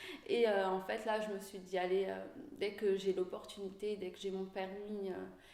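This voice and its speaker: A woman talks fairly slowly, with audible echo from the room and noticeable noise in the background. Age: 30s. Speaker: bus driver. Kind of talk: interview. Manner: hesitant, many fillers.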